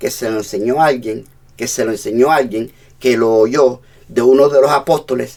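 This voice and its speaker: A man with a plain, everyday voice, medium pitch and ordinary pitch variation, at a moderate pace. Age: 60s. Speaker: pastor. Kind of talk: sermon.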